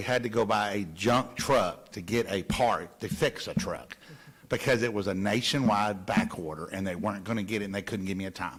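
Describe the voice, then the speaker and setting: A fairly low-pitched man at a fairly quick pace, with ordinary pitch variation. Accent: Southern US. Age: 60s. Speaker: local waste hauling subcontractor owner. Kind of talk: council meeting discussion.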